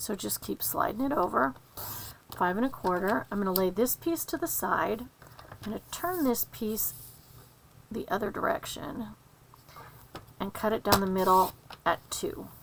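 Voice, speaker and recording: A woman speaks at a fairly high pitch with very wide swings in pitch, taking long, frequent pauses over noticeable background noise. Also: moderate pace. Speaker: papercraft instructor. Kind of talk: tutorial.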